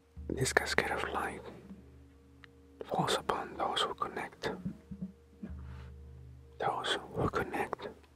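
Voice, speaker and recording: A man whispers at a very slow pace with long, frequent pauses. Music plays in the background. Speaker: spiritual motivational speaker. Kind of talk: spiritual motivational talk. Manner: whispered.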